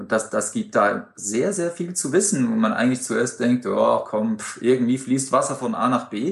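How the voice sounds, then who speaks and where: Delivered at a moderate pace with hardly any pauses, the voice has very wide pitch swings and vocal fry. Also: man, medium pitch for a man. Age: 40s. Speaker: amateur open-water swimmer. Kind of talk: interview.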